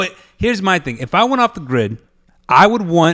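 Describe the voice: A man's fairly bright tone with lively intonation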